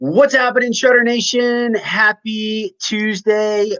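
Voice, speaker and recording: This man's voice has a high pitch. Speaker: health coach. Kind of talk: podcast interview host. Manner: upbeat.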